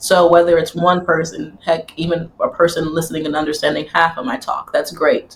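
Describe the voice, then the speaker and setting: This woman's voice is fairly low and somewhat breathy, moving at a fairly quick pace. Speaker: AI engineer and strategist, tech speaker. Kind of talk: casual interview chat. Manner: fast talker.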